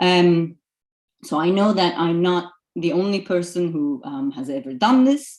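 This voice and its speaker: A woman with a Turkish accent, a fairly low pitch, very wide pitch swings, and a fairly slow pace. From Turkey. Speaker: archaeology lecturer. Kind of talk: lecture. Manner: hesitant, many fillers.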